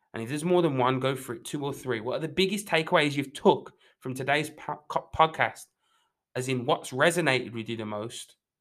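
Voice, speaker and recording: A man with a normal speaking voice talks at a fairly quick pace, with a fairly high pitch and ordinary pitch variation. The recording is very clean, with a silent background. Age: 20s. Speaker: fitness coach podcast host. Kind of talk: motivational solo talk.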